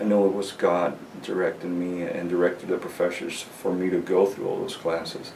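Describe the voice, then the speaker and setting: A man hurries along at a fairly quick pace amid noticeable background noise and audible room echo. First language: not English. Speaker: graduate music student. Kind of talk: interview. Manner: halting, many repetitions and fillers.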